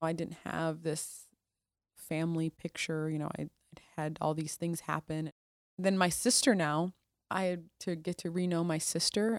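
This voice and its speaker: A woman with an American accent uses a plain, everyday voice, fairly low in pitch, on a very clean recording with a silent background and a dry, close sound with no echo. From US Midwest. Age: 30s. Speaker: military officer. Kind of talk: casual interview. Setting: hotel in Washington DC, re-recorded interview.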